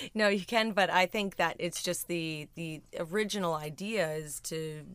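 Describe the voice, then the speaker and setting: A woman with a Canadian accent speaks at a moderate pace in an unremarkable speaking voice. Her pitch is fairly low, with ordinary variation. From Ontario, Southern Georgian Bay. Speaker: winemaker. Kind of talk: casual chat. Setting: studio.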